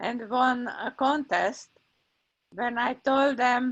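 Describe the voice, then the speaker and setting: A woman speaks with a strong Hungarian accent. Her pitch is high. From Hungary. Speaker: meeting host. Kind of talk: meeting facilitation.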